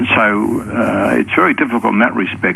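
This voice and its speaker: A man talks in an Australian accent. Noticeable background noise can be heard. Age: 70s. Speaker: Vietnam veteran, caller. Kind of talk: radio call-in chat. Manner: halting.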